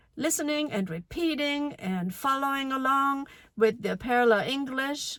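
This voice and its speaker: A woman with a German accent at a high pitch, speaking at a fairly slow pace with lively intonation. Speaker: language teacher. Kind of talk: casual talk to camera.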